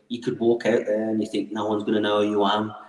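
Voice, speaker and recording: There is noticeable background noise behind this man. He speaks at a very fast pace. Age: 30s. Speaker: professional wrestler. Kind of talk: casual interview.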